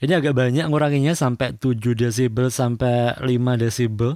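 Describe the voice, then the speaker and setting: A man speaks at a fairly quick pace in a dark, mellow tone, his pitch varying in an ordinary way. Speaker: audio tutorial youtuber. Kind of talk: tutorial.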